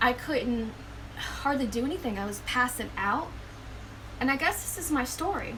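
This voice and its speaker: A woman's high-pitched voice with lively intonation at a moderate pace, long and frequent pauses, audible room echo and noticeable background noise. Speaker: spiritual vlogger. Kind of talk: personal testimony. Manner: halting.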